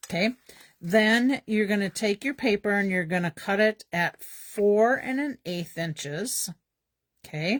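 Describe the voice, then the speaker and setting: On a very clean recording with a silent background and a dry, close sound with no echo, a woman with a plain, everyday voice speaks at a fairly slow pace and a medium pitch with ordinary pitch variation. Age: 60s. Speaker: papercraft demonstrator. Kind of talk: tutorial. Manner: casual, filler-heavy.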